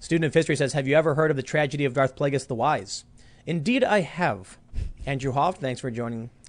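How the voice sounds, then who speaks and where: A man talks at a very fast pace with a fairly high pitch and ordinary pitch variation. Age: 30s. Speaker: political commentary podcast host. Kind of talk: casual chat; reading aloud. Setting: studio.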